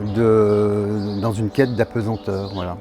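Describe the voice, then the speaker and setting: A man is speaking. Music plays in the background. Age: 60s. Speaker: sculptor. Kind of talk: interview. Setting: artist's studio. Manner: halting, many hesitations.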